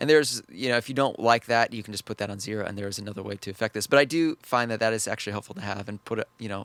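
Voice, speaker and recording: A man's fairly low voice with fairly even intonation, dry and close with no echo, on a very clean recording with a silent background. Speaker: trading strategy youtuber. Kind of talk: screen-share tutorial. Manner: halting, many fillers and restarts.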